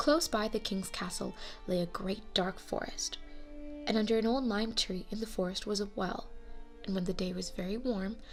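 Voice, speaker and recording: With music in the background, a woman with a fairly high pitch speaks at a moderate pace. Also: ordinary pitch variation. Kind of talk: fairy tale narration.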